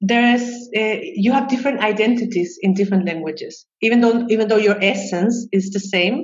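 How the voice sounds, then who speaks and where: Speaking with a Chilean Spanish accent, a woman uses a fairly high, somewhat breathy voice. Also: ordinary pitch variation. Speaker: psychologist and expat coach. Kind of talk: interview conversation. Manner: halting, many fillers and repetitions.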